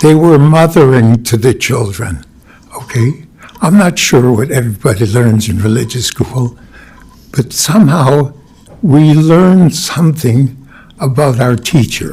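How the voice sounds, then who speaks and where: Noticeable background noise surrounds a man's medium-pitched voice. His intonation is lively. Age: 90s. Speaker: retired rabbi. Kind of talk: eulogy. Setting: funeral service. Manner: halting.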